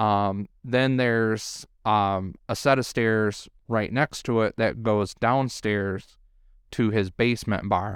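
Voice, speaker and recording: With a Detroit accent, a man speaks at a very slow pace. His pitch is fairly low and his intonation fairly even. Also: very clean recording, silent background. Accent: Detroit-area Michigan. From Michigan, around Detroit. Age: 20s. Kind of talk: casual chat.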